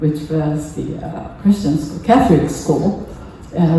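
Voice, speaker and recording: With a Japanese accent, a woman talks at a very deep, low pitch amid noticeable background noise and audible room echo. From Japan (Kamakura, near Tokyo). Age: 80s. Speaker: temple member giving a talk. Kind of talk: personal talk at a service. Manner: halting, many fillers.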